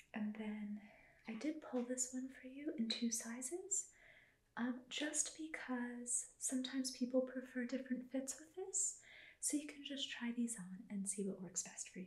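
This woman is soft-spoken with a high pitch. She talks at a fairly slow pace with lively intonation. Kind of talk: soft-spoken clothing presentation to a viewer. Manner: soft-spoken ASMR shop assistant voice. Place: home room. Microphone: phone near.

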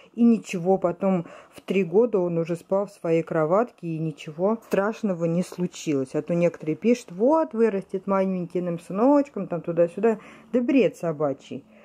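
The voice has a dark, mellow tone, lively intonation and big swings in loudness at a moderate pace. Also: woman. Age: 30s. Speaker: vlogger and mother; vlogger. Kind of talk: home vlog, casual talk to viewers. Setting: at home in bedroom. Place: home room. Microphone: phone near.

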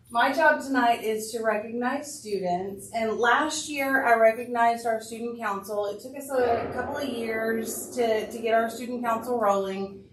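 Loud, fairly slow speech in an American accent, with audible room echo and noticeable background noise. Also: woman. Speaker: school administrator. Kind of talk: public meeting remarks. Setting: school board meeting with PA mic.

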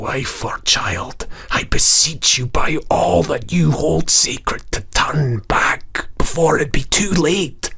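This man speaks at a medium pitch in a put-on character voice. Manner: beseeching, sorrowful.

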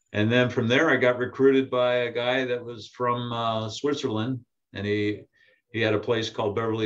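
Over a quiet background, a man speaks in monotone, flat intonation. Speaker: guest. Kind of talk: interview answer. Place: office.

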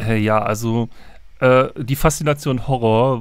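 The background is silent in this very clean recording. A man speaks at a mid-range pitch, moving up and down in ordinary ways. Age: 30s. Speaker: sound engineer and musician. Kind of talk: podcast conversation. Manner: halting, many fillers.

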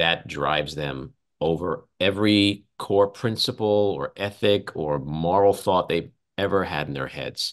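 A man with a New York accent speaks at a fairly slow pace in a very deep, low voice. His pitch varies normally, and the background is quiet. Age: 60s. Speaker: podcast host and political commentator; podcast host, political commentator. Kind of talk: casual chat. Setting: video call. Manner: animated. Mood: indignant, sarcastic. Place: home room. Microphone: video call.

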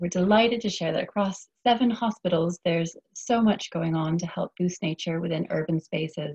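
Hardly pausing, a woman with a fairly low, somewhat breathy voice talks at a moderate pace with ordinary pitch variation. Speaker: event host. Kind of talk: webinar moderation. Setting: video call.

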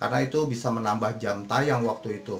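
A man is speaking with ordinary pitch variation. Light background noise can be heard. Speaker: YouTuber. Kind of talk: casual tutorial talk to viewers. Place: home room. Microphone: phone near.

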